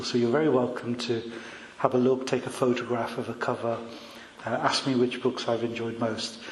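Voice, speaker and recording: Noticeable background noise and audible room echo surround the recording. A man speaks at a moderate pace and a medium pitch. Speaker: clinical psychologist. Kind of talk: public talk. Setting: talk to a live audience in a room. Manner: hesitant, many fillers.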